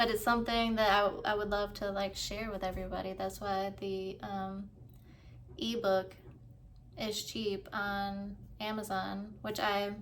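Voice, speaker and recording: With audible room echo, a woman at medium pitch speaks at a fairly slow pace in monotone, flat intonation. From US South. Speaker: author vlogger. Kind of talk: casual vlog talk. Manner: casual, stumbling over words.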